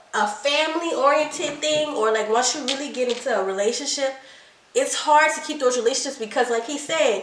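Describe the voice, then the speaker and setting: A woman's high, animated voice with audible room echo and noticeable background noise. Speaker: couples channel co-host. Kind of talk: casual chat. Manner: fast.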